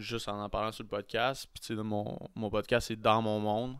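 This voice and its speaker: In a very clean recording with a silent background, a man talks at a moderate pace in a fairly low pitch with monotone, flat intonation. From Quebec City. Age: 20s. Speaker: podcaster and vlogger. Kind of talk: casual chat.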